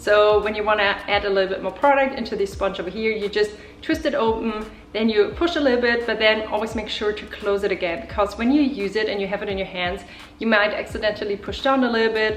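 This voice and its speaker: Over noticeable background noise, the speaker rushes at a very fast pace in a German accent with ordinary pitch variation. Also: woman, fairly high pitch for a woman. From Germany. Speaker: beauty YouTuber. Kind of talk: makeup tutorial talk to camera.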